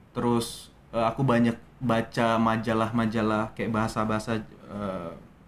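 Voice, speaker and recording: Flat and monotone in intonation, the voice keeps to a moderate pace. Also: man, medium pitch for a man. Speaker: actor. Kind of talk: interview. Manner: hesitant, many fillers.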